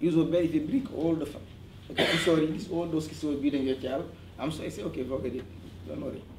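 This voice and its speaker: A man speaks at a fairly high pitch, with audible room echo around him. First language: French. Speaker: parent at community meeting. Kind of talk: community meeting testimony. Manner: halting.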